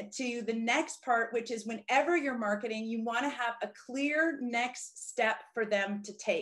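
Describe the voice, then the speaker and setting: Energetic and enthusiastic, a woman talks at a moderate pace in a high pitch with ordinary pitch variation. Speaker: business coach. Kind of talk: webinar presentation. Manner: direct.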